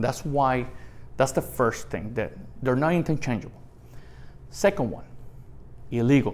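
A man with medium pitch and vocal fry speaks at a moderate pace with ordinary pitch variation and long, frequent pauses. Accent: Puerto Rican. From Puerto Rico. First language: Spanish. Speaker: retired federal immigration agent. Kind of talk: interview.

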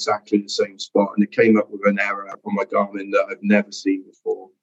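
A man talks in a South Wales accent. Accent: Welsh (South Wales). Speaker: ultra-endurance athlete. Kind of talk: casual interview.

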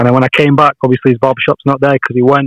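With a northern English accent, a man speaks at a fairly high pitch in a dry, close recording without echo. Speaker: friend joining by call. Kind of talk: casual chat. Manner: casual, swears.

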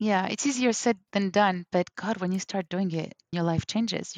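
A woman speaks with a French accent and fairly even intonation, her voice dry and close with no echo. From Algeria, raised in London, West Africa and New York. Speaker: language coach. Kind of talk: interview conversation.

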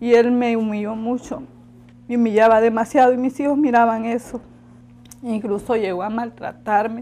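A woman's fairly high voice with a Honduran accent, dark and mellow, fairly even in intonation, with long, frequent pauses. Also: moderate pace. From Honduras, La Ceiba. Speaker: migrant mother. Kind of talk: interview testimony.

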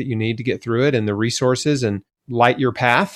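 Over a quiet background, a man with an American accent talks in a medium pitch with ordinary pitch variation. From Tennessee, US South. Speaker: cancer survivor and health author. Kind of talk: interview.

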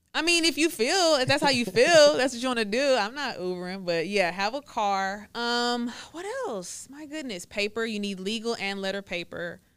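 With an American accent, a woman speaks at a moderate pace and fairly high pitch, with very wide pitch swings and big swings in loudness, on a very clean recording with a silent background. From Texas, Waco area. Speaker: notary and YouTuber. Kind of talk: casual interview chat.

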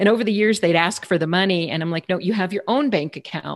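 Against a quiet background, a woman talks with a fairly low pitch and ordinary pitch variation. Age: 50s. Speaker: marketing podcast host. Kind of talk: interview.

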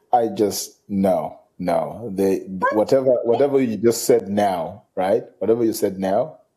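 A man speaks at a fairly slow pace. He leaves hardly any pauses. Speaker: podcast co-host. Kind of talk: casual chat.

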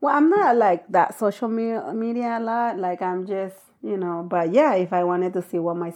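A woman speaks at a moderate pace in a fairly low pitch with ordinary pitch variation and a dark, mellow tone. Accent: Spanish. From Mexico, Acapulco; moved to the US at 12. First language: Spanish. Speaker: podcast guest, host's wife and travel partner. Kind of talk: casual chat.

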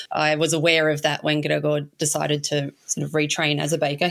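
A woman with a very deep, low pitch and an Australian accent, fairly quick delivery, and monotone, flat intonation. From Australia, Melbourne (St Kilda). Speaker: small business owner. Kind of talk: interview.

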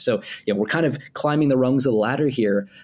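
A man at a medium pitch and a very fast pace. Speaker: AI safety company co-founder and podcast co-host. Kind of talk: casual tech news discussion.

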